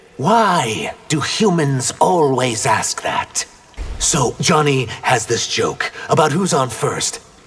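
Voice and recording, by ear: A man puts on a cartoonish character voice at a fairly high pitch. He speaks at a very slow pace.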